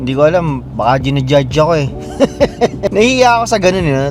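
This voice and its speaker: Over music in the background and audible room echo, a man with a fairly high pitch talks with lively intonation. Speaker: vlogger, Filipino immigrant butcher. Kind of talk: casual vlog monologue. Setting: in a car.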